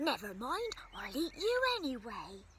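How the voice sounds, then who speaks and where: Putting on a character voice, a man speaks at an extremely high pitch with very wide pitch swings over clear background noise. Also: fairly slow pace. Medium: read story. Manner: roaring, gruff.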